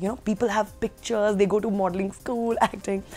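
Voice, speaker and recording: With faint music in the background, a woman speaks at a very fast pace. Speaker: actress interviewee. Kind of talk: interview answer. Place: hall.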